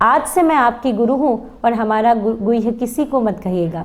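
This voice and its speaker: This is a woman speaking. Her pitch is high. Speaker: spiritual discourse speaker. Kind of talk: religious discourse.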